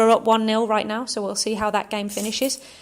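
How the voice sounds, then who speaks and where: A woman speaks with an English accent. Her pitch is fairly high and her pace fairly quick. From England. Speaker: football club podcast host. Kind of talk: casual chat.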